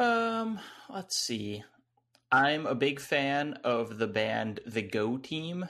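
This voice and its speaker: Over a quiet background, a man with an American accent talks at a very slow pace with ordinary pitch variation. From US South, North Carolina. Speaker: video essayist. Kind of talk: casual interview chat. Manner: frequent laughter, hesitant fillers.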